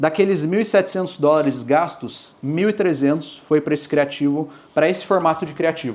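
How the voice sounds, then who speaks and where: A man talks at a fairly quick pace. His voice is high, with ordinary pitch variation. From Brazil. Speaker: dropshipping mentor. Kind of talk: talk to audience.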